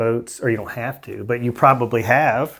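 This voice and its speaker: With a Southern US accent, a man speaks at a medium pitch in a monotone, flat intonation. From Alabama. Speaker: podcast host. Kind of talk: podcast interview.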